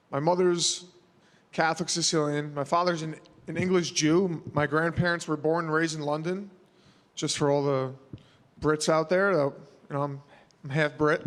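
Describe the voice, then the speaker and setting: A man with a New York accent speaks at a fairly high pitch and moderate pace in a monotone, flat intonation. He leaves long, frequent pauses. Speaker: mixed martial arts fighter. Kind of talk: media scrum interview. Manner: casual, halting with fillers.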